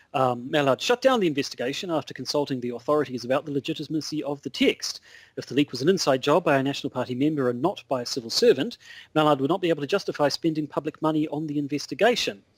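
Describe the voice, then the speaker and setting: Talking at a very fast pace, a man with a New Zealand accent has a fairly high voice, ordinary pitch variation, and a dry, close sound with no echo. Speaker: podcast co-host. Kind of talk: casual chat. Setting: Skype call.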